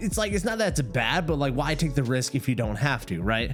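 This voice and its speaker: A mumbling man at a medium pitch, very fast pace and very wide pitch swings, with music in the background. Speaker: gaming streamer and content creator. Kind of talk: casual vlog monologue.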